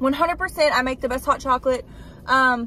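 In a dry sound with no echo and light background noise, a woman uses a raised, projected voice with ordinary pitch variation. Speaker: vlogger. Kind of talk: casual vlog chat. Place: car. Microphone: phone near.

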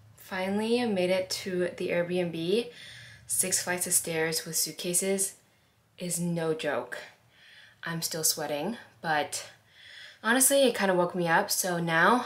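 A woman's ordinary speaking voice, fairly low in pitch, at a fairly slow pace with ordinary pitch variation. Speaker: travel vlogger. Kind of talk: casual vlog chat. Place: home room. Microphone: phone near.

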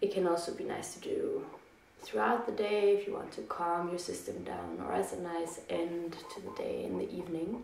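A woman speaking amid audible room echo and light background noise. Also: moderate pace. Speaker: yoga instructor. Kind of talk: guided meditation and breathing instruction. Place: home room. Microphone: camera far.

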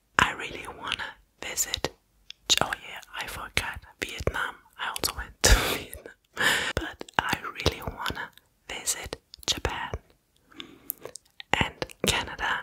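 A woman whispers at a fairly slow pace, leaving long, frequent pauses. Her loudness swings widely. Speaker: content creator. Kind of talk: casual talk to camera, soft ASMR style. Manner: soft close-mic ASMR speech. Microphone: studio mic.

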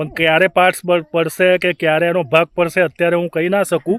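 A man with a high pitch and fairly even intonation, on a very clean recording with a silent background. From Gujarat, India (Ahmedabad). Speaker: vlogger. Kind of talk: casual vlog narration. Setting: outdoors on a farm.

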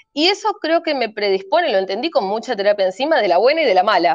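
With very wide pitch swings, a woman speaks over a quiet background in a dry sound with no echo. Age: 30s. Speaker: cult survivor; guest. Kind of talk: testimony. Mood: earnest, reflective. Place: home room. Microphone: video call.

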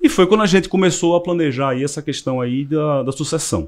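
A man at a fairly quick pace. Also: quiet background. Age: 40s. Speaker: car dealership director; podcast guest. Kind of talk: casual interview. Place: studio. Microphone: studio mic.

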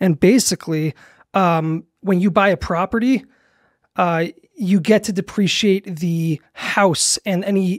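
Against a quiet background, a man with a high pitch speaks at a fairly slow pace with ordinary pitch variation, in a dry sound with no echo. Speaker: guest. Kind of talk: interview answer. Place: studio. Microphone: studio mic.

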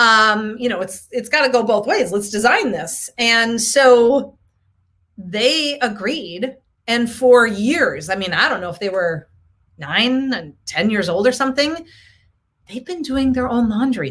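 A woman speaks fairly slowly with lively intonation. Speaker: coach, show host. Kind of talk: casual live-stream talk. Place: home room. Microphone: webcam.

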